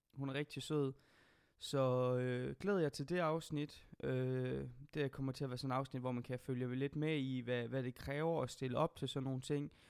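A man speaks in a normal speaking voice at medium pitch. His pace is fairly slow and his intonation fairly even. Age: 20s. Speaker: podcast host. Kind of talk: casual chat.

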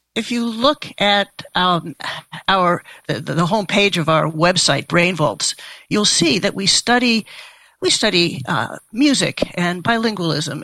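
Speaking at a very slow pace, a woman uses lively intonation, a bright, sharp tone and vocal fry. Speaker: neuroscientist and author. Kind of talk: interview conversation.

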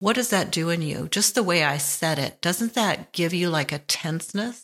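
A woman's plain, everyday voice, fairly low in pitch with ordinary variation, at a moderate pace on a very clean recording with a silent background. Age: 60s. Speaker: podcast host. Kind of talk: reflective monologue. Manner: relaxed, laughs often.

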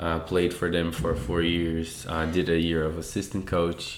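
In a Portuguese accent, a man speaks with a very deep, low pitch. There is audible room echo. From Brazil, Sao Paulo. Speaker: tennis coach. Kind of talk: casual chat.

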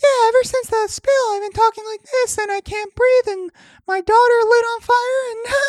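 A squeaky, put-on character voice with extremely high pitch speaks at a moderate pace. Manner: mocking.

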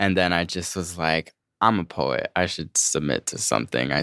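A man speaks with an American accent at a very deep, low pitch, with vocal fry. The sound is dry and close, with no echo. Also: very clean recording, silent background. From Massachusetts, Framingham. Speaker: poet and activist. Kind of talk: casual interview. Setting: studio.

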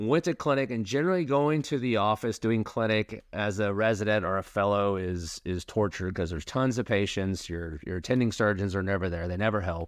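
A man with an American accent talks at a fairly quick pace with hardly any pauses, at a fairly low pitch with ordinary pitch variation. He has an ordinary speaking voice, and the background is quiet. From Oklahoma (Tulsa). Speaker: bariatric surgeon and podcast co-host. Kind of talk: casual chat.

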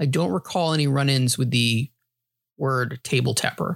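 In a dry, close sound with no echo, a man with a normal speaking voice and an American accent talks at a moderate pace in a fairly high pitch with lively intonation. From New York (grew up partly in New Hampshire). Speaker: podcast host. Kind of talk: casual chat.

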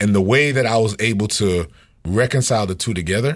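A man's somewhat breathy voice with lively intonation, in a very clean recording against a silent background. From Haitian family household. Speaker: pastor and music producer. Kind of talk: casual chat.

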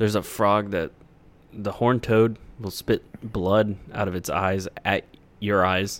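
Speaking very slowly in a monotone, flat way, a man with a fairly low pitch leaves long, frequent pauses. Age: 20s. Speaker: comedy podcast co-host. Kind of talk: casual chat.

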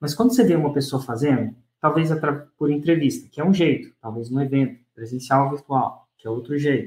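A somewhat breathy man's voice at a fairly quick pace, with ordinary pitch variation. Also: fairly high pitch for a man. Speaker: podcast host and launch course teacher. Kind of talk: casual interview.

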